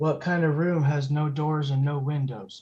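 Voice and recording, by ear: At a moderate pace, a man uses a put-on character voice with a fairly high pitch, fairly even intonation and very even loudness.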